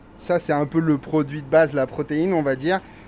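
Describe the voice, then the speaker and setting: A man's fairly high voice is heard with noticeable background noise behind it. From Brittany, Ille-et-Vilaine. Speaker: chef. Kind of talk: casual interview.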